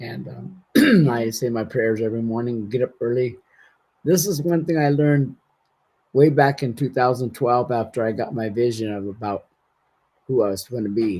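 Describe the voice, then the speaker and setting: A man with an American accent speaks in a dark, mellow tone with ordinary pitch variation. He takes long, frequent pauses. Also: medium pitch for a man, moderate pace, very clean recording, silent background. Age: 60s. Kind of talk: casual interview conversation.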